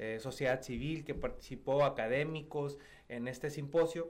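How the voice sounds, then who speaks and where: The man speaks with a fairly high pitch and ordinary pitch variation. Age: 30s. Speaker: state legislator. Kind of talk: radio interview. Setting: radio studio.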